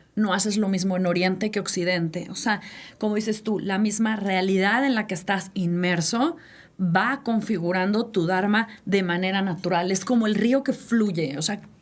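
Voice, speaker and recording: An ordinary speaking voice at a moderate pace, with very even loudness and ordinary pitch variation. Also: woman, medium pitch for a woman. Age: 60s. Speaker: podcast co-host. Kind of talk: casual chat.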